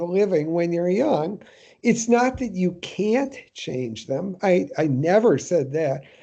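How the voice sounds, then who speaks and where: A man with an American accent. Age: 70s. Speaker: professor. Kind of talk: interview. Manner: hesitant with fillers and repetitions.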